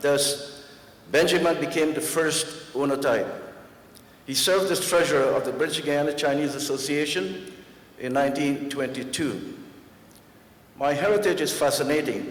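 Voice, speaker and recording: A man's fairly high voice, with long, frequent pauses, audible room echo and noticeable background noise. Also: ordinary pitch variation, moderate pace. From Guyana, Georgetown. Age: 70s. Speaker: honorary doctorate recipient, karate master. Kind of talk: acceptance speech.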